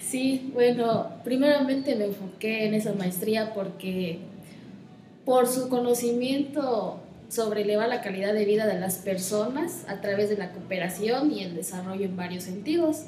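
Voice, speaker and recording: At a fairly slow pace, a woman speaks with a fairly high pitch and ordinary pitch variation, with audible room echo and noticeable background noise. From Mexico, Chiapas (Comitán). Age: 20s. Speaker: environmentalist and graduate student. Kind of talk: interview conversation.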